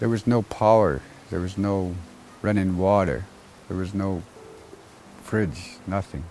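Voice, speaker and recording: In a very deep, low, dark and mellow voice, a man talks at a fairly slow pace with long, frequent pauses. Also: ordinary pitch variation. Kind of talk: testimony. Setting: outdoors.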